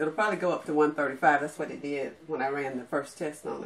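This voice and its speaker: A woman's very deep, low-pitched voice with fairly even intonation. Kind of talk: tutorial. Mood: pleased, light laughter. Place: home room. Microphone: camera far.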